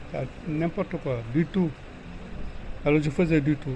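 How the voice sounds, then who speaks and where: A man at a fairly high pitch and a fairly slow pace, over noticeable background noise. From Senegal, Ngor village near Dakar. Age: 70s. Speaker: village elder. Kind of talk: interview answers to children.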